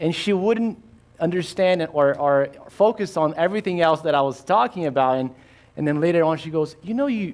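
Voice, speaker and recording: With a Brazilian Portuguese accent and lively intonation, a man speaks at a fairly high pitch on a very clean recording with a silent background. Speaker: insurance agent and risk manager. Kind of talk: workshop presentation. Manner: halting, many fillers.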